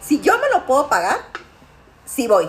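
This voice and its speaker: With very wide pitch swings, the voice moves at a fairly slow pace over noticeable background noise. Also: woman. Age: 40s. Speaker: podcast host. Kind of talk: casual chat. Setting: dinner at a friend's home.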